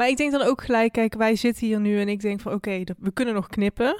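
Speaking with fairly even intonation, a woman with a fairly high pitch sounds dry and close, with no echo. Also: very clean recording, silent background. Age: 20s. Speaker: podcast host and student. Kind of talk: interview conversation. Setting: studio.

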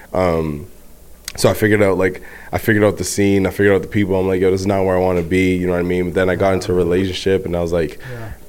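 Amid noticeable background noise, a man with a very deep, low voice speaks very fast with fairly even intonation. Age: 20s. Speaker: guest co-host. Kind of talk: casual chat.

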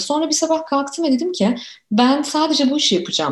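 A woman's voice comes across somewhat breathy as she moves along at a fairly quick pace. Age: 40s. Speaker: youth researcher and author. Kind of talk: interview.

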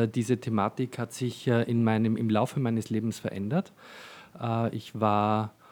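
At a fairly slow pace, the speaker delivers a monotone, flat intonation in a very clean recording with a silent background. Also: man. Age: 40s. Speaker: fashion designer and shop owner. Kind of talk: casual interview. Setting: in his shop. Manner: hesitant, many fillers.

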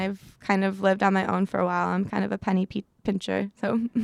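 A woman's medium-pitched voice in an American accent at a very fast pace, dry and close with no echo, on a very clean recording with a silent background. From Chicago, US Midwest. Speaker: baker and small business owner. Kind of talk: casual interview.

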